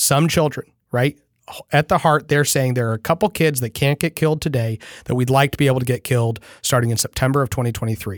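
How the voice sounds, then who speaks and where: A man at a medium pitch and very fast pace, with ordinary pitch variation, in a dry, close sound with no echo. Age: 30s. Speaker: political podcast host. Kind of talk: political commentary.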